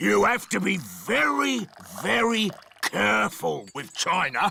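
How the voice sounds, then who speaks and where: In a cartoonish character voice, a man speaks at a high pitch with very wide pitch swings. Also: fairly slow pace. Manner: hearty, blunt.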